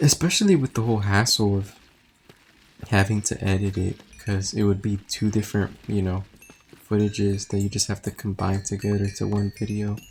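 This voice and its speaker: Noticeable noise fills the background. The talking proceeds at a moderate pace. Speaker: gaming YouTuber. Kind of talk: gameplay commentary. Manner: loud; halting, many fillers.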